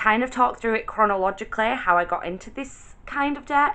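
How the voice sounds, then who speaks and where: The speaker is a woman with an English accent. She talks at a fairly quick pace. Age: 20s. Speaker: vlogger. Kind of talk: casual chat.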